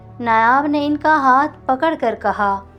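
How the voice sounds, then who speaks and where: A soft-spoken woman talks at a high pitch with ordinary pitch variation while music plays in the background. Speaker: audio novel narrator. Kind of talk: romantic audio novel reading. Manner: soft, emotional.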